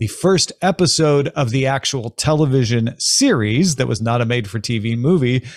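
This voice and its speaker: A man speaks at a fairly slow pace, with ordinary pitch variation. The sound is dry with no echo, over a quiet background. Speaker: podcast host. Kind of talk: commentary. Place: home room. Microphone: studio mic.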